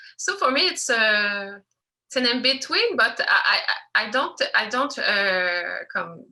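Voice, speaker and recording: A woman in a French accent, fairly high in pitch, at a fairly slow pace. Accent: non-native English, French. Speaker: filmmaker, animator. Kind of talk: Q&A interview. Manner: halting, many hesitations.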